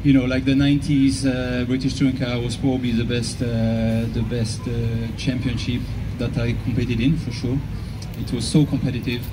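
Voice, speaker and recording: Music plays behind a man talking at a moderate pace. The room echo is audible. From Switzerland. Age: 60s. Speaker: racing driver. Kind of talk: casual interview on stage.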